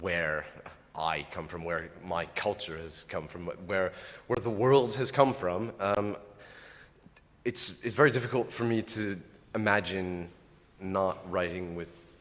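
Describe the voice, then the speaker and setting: A man with an American accent, very deep and low in pitch, at a fairly slow pace, with ordinary pitch variation and long, frequent pauses. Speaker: poet. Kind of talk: panel discussion. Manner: halting.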